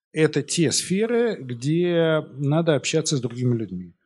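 Against a quiet background, a man with a fairly high pitch and a dark, mellow tone talks at a moderate pace, his pitch swinging very widely. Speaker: economics professor. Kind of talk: lecture. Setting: stage with audience. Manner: informal, many filler words.

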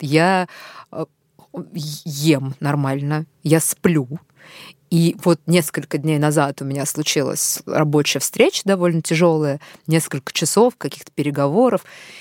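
A woman speaks at a very deep, low pitch with ordinary pitch variation. Her pace is very slow, with long, frequent pauses, in a very clean recording with a silent background. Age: 30s. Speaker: podcast host. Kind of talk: interview.

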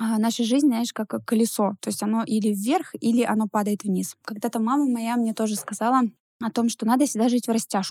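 A somewhat breathy woman speaks at a moderate pace with a dark, mellow tone. Her intonation is fairly even, and the sound is dry and close with no echo. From Russia, Ivanovo. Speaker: entrepreneur. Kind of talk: interview. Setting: studio.

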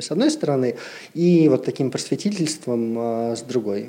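Here a man talks in a normal speaking voice at a moderate pace. His pitch is medium, with ordinary variation. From Siberia, Russia. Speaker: brand ambassador and massage therapist. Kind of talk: casual chat.

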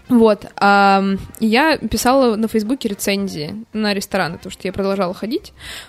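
A woman speaks at a moderate pace in a normal speaking voice, medium in pitch with ordinary pitch variation. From Moscow, Russia. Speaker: bar PR director. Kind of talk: casual chat.

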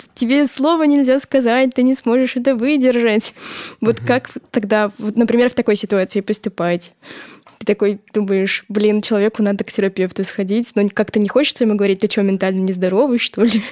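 A woman speaks in a plain, everyday voice at a fairly high pitch and fairly quick pace, with ordinary pitch variation. The sound is dry and close, with no echo. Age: 20s. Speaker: editor. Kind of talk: casual chat.

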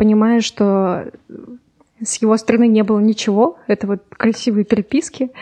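Using a dark, mellow tone, a woman with a fairly high pitch speaks at a moderate pace with fairly even intonation. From Urals, Russia (Yekaterinburg). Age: 20s. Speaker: lawyer. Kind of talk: casual chat. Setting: studio.

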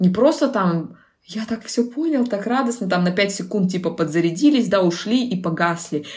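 In a very clean recording with a silent background, a woman of medium pitch talks at a moderate pace with lively intonation and a somewhat breathy quality. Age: 20s. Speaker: personal branding expert. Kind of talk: casual interview.

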